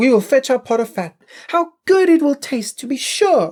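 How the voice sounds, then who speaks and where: This is a put-on character voice pitched high. It moves at a moderate pace. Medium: read story. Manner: gentle, polite.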